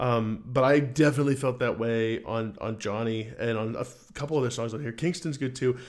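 A man with a normal speaking voice at medium pitch talks at a fairly quick pace, with ordinary pitch variation and hardly any pauses. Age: 20s. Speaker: music podcast co-host. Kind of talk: casual chat.

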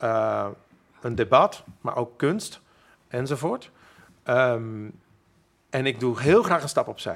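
Speech comes at a very slow pace, with long pauses falling often. The recording is very clean against a silent background, and the pitch varies in an ordinary way. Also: man, medium pitch for a man. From Friesland, Makkum. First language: Frisian (speaking Dutch). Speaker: musician. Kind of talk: interview. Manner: halting.

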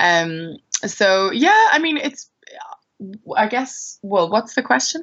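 Here a woman speaks with an Irish accent. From Ireland, Maynooth (teen years in West Africa). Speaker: singer-songwriter. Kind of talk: casual interview. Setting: call.

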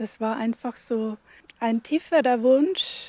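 A woman with a fairly high pitch and a dark, mellow tone speaks at a very slow pace, the sound dry and close with no echo. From Germany, Upper Palatinate (Bavaria). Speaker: hermit nun. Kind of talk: interview. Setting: at a pilgrimage church site.

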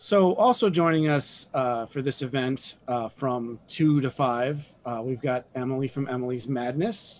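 A man speaks in an unremarkable speaking voice at a fairly slow pace. His pitch varies in an ordinary way. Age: middle-aged. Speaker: comic and game store owner, podcast host. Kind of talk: casual chat.

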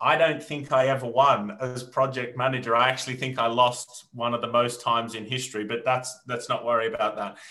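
With an Australian accent, a man talks at a fairly quick pace and a medium pitch. His intonation is fairly even and he hardly pauses. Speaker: entrepreneur and reality TV winner. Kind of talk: interview. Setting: video call.

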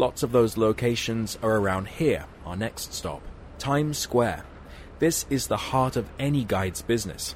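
With an ordinary speaking voice, a man talks at a moderate pace in a medium pitch with ordinary pitch variation. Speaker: radio reporter. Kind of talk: scripted radio feature narration. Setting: outdoors on location in New York.

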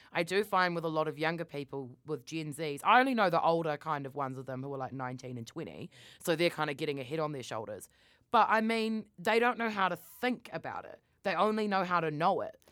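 With a New Zealand accent, a woman speaks at a fairly quick pace and fairly low pitch, using very wide pitch swings on a very clean recording with a silent background. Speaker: podcast co-host. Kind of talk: casual chat. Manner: loud.

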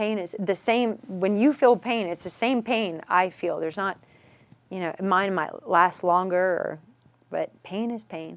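Speaking with an American accent at a fairly slow pace, a woman uses an ordinary speaking voice of medium pitch with ordinary pitch variation. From Dallas, Texas (Richardson). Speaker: author sharing personal story of child loss. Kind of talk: interview, personal testimony.

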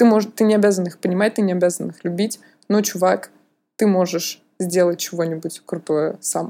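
A woman speaks at medium pitch and a moderate pace. Her tone is dark and mellow. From Russia. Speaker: museum mediator, podcast co-host. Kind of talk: casual chat. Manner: animated.

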